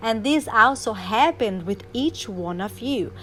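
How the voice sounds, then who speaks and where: A woman speaks with a non-native accent and a fairly high pitch. Her intonation is lively. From Brazil. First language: Portuguese. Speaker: life coach. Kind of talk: motivational talk. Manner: animated; halting.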